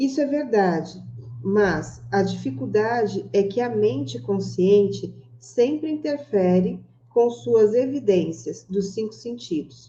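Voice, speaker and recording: A woman at medium pitch with very wide pitch swings. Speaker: book club host. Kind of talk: reading aloud; casual chat.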